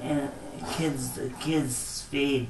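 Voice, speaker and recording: Spoken at a very slow pace, the clip carries noticeable background noise and audible room echo. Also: man. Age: 40s. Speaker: care home resident with brain injury. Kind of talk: interview. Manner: halting.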